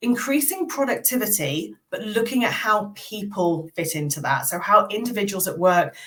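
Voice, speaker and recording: A woman speaks with a British accent at a medium pitch. Her pace is moderate. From England. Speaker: military veteran and change management consultant. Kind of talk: podcast interview.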